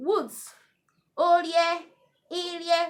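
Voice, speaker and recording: At a very slow pace, a woman speaks with a Nigerian accent. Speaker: Urhobo language teacher. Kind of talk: language lesson vocabulary list.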